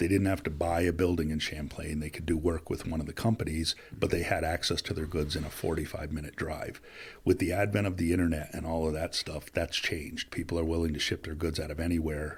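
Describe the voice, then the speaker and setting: Somewhat breathy and very deep in pitch, a man speaks at a very fast pace in a monotone, flat way on a very clean recording with a silent background. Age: 50s. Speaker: business executive. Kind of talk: podcast interview. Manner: talkative.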